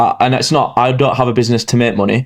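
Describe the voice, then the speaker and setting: A man with an English accent, medium pitch, and a monotone, flat intonation. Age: 20s. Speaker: entrepreneur. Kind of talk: podcast interview. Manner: halting.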